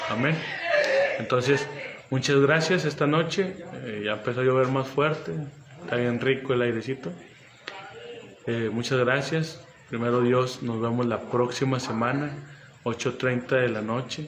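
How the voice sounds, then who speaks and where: Amid noticeable background noise and audible room echo, a man speaks at a fairly slow pace and medium pitch with ordinary pitch variation and long, frequent pauses. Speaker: pastor. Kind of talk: sermon. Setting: livestream.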